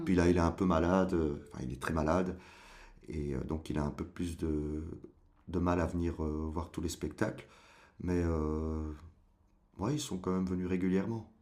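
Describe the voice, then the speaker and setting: Long, frequent pauses mark the speech of a man whose very deep, low pitch moves at a moderate pace with fairly even intonation. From Brussels, Belgium. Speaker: stage actor. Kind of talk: interview answer.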